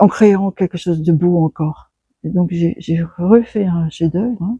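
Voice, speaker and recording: A woman with a fairly low pitch speaks at a fairly slow pace, her tone dark and mellow and somewhat breathy. Her pitch varies in an ordinary way, and the sound is dry and close with no echo. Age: 70s. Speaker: sculptor. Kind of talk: interview. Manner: halting.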